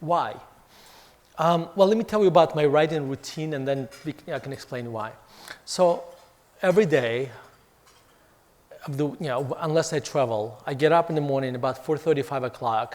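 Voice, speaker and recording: Pausing long and often, a man with a non-native accent speaks at a moderate pace in a fairly high voice with ordinary pitch variation. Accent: foreign. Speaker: author and investment firm CEO. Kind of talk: fireside chat talk. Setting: hotel event with audience. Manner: halting with fillers.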